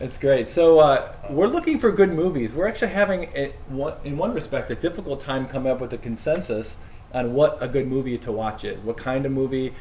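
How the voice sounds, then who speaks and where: A man talks at a fairly quick pace in a fairly high pitch, his intonation lively. There is noticeable background noise. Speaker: priest. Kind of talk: casual chat. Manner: loud.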